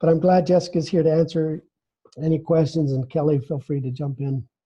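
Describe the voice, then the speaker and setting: Ordinary pitch variation in a male voice pitched fairly high. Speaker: webinar presenter, training director. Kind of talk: webinar presentation. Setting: online webinar. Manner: fast; halting, many fillers.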